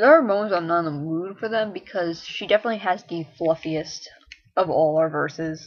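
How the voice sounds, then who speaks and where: Mumbling at a fairly quick pace, a woman with a fairly low pitch shows ordinary pitch variation and big swings in loudness. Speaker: online roleplay writer. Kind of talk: casual vlog monologue. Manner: mumbles a bit; long awkward pauses.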